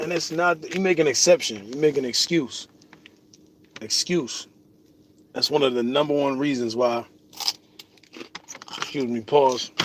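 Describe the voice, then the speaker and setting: Noticeable background noise sits under a man speaking at a fairly slow pace with long, frequent pauses. His voice is fairly high, with ordinary pitch variation. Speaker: vlogger. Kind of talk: casual vlog monologue. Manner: casual, slangy.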